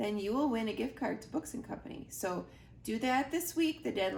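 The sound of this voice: Intonation is lively in an unforced reading voice.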